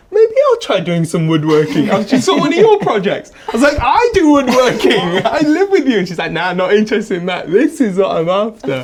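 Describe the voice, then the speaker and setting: A man with an English accent and a high pitch speaks with hardly any pauses and very wide pitch swings. Noticeable background noise runs underneath. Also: fairly quick pace. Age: 20s. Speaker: woodworker and furniture maker. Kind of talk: interview.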